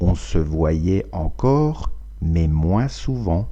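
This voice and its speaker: A man's very deep, low voice, dark and mellow in tone, at a very slow pace. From France. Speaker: French teacher. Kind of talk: language lesson reading.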